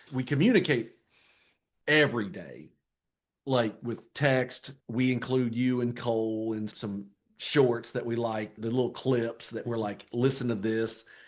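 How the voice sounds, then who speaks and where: A man talks at a fairly slow pace in a plain, everyday voice. His pitch is medium and his intonation fairly even. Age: 40s. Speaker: Marine veteran and father of the host. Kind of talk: casual chat. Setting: home office.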